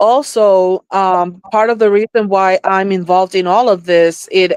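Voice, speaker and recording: A Spanish accent at a fairly slow pace in a dry, close sound with no echo. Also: woman. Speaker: psychic / spiritual experiencer. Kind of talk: podcast interview. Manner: halting, with fillers.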